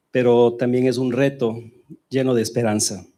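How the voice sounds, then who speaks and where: With a Spanish accent, a man speaks at a medium pitch in a dark, mellow tone, his intonation fairly even. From Ecuador. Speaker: church member. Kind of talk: testimony.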